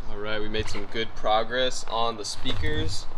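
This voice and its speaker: With noticeable background noise behind him, a man talks at a fairly slow pace with ordinary pitch variation. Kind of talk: casual vlog chat. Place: car. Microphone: phone near.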